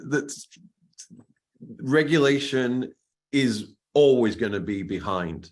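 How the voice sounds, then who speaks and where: A man with a British accent, at a very slow pace, ordinary pitch variation, and long, frequent pauses. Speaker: cybersecurity expert, webinar panelist. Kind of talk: webinar panel Q&A. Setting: online webinar. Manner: hesitant, many restarts and fillers.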